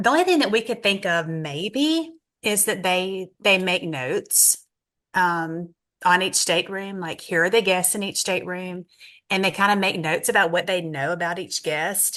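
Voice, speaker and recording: The voice has a bright, sharp tone and ordinary pitch variation. It moves at a moderate pace against a quiet background. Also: woman, medium pitch for a woman. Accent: Southern US. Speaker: travel advisor. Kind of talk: casual chat. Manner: animated.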